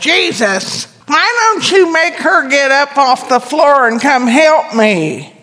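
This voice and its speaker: A female-sounding put-on character voice talks at a high pitch and a fairly slow pace. The delivery is whiny. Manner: whiny, complaining.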